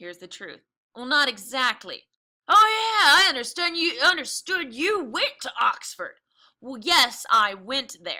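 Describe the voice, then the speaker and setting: A raised, projected put-on character voice at a moderate pace, with very wide pitch swings and big swings in loudness. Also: woman, high pitch for a woman. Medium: read story. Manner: sharp, impatient.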